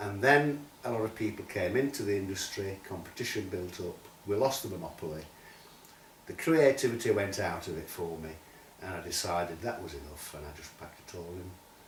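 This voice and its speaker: A man with a Yorkshire accent, fairly low-pitched with lively intonation, at a fairly quick pace, with big swings in loudness and audible room echo. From Sheffield, northern England. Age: 70s. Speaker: writer and poet. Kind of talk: interview.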